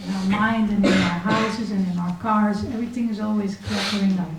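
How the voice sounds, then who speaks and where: A woman's medium-pitched, monotone voice at a moderate pace, amid noticeable background noise and audible room echo. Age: 40s. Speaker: spiritual teacher. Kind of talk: lecture. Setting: temple with audience.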